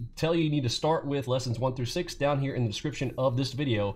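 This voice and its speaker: A somewhat breathy man talks at a very fast pace with ordinary pitch variation. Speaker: trading educator. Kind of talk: tutorial.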